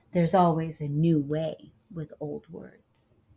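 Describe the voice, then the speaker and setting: In a put-on character voice, a soft-spoken woman talks very deep and low, at a fairly slow pace with fairly even intonation. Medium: read story. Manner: soft-spoken, gentle.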